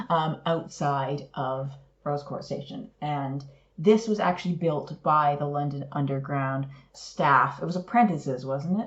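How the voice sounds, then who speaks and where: In a Canadian accent, a woman speaks at a very deep, low pitch with ordinary pitch variation. Her voice is somewhat breathy and her pace fairly slow. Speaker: podcast co-host. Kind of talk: casual chat.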